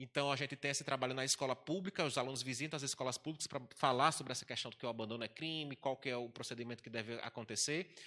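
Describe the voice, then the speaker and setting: Delivered at a very fast pace with hardly any pauses, the voice has a bright, sharp tone and fairly even intonation. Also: man, medium pitch for a man. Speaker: university administrator. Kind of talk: panel talk.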